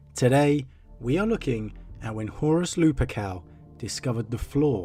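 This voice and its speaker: With music in the background, the talking goes along at a moderate pace. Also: man. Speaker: lore narrator. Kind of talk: casual talk to camera.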